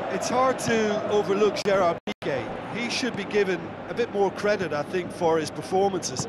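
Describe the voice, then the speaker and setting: A man with a high pitch talks at a moderate pace, with ordinary pitch variation. Noticeable background noise runs underneath. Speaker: football pundit. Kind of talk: live football commentary, analyst. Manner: knowledgeable, conversational.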